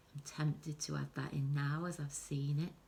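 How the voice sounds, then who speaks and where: Somewhat breathy, a woman speaks in a very deep, low pitch. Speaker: art teacher. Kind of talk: tutorial. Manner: soft-spoken.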